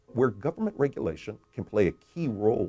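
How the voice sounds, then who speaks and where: Somewhat breathy, a man talks with a dark, mellow tone. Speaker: economist and author. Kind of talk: explanatory talk about his book.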